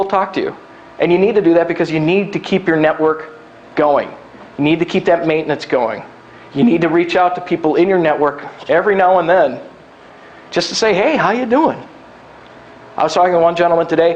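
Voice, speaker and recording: Over noticeable background noise, a high-pitched man talks at a fairly quick pace with ordinary pitch variation and long, frequent pauses. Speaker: recruitment specialist and workshop speaker. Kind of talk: live workshop talk. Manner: fast; casual, down to earth.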